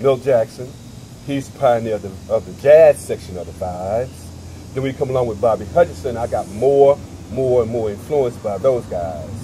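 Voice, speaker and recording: Over noticeable background noise, a man talks at a moderate pace and medium pitch. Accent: American. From US South, South Carolina. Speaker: jazz vibraphonist. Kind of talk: interview.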